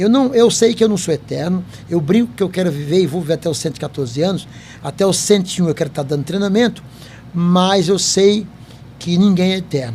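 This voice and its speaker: A man's high-pitched voice at a fairly quick pace, with lively intonation and noticeable background noise. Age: 70s. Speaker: company founder and podcast host. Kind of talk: interview chat.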